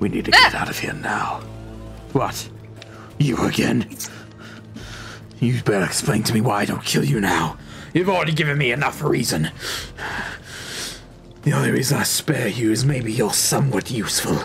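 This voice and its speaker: A man performs a put-on character voice at medium pitch, leaving long, frequent pauses. Clear music plays in the background. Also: moderate pace. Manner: shouting, furious.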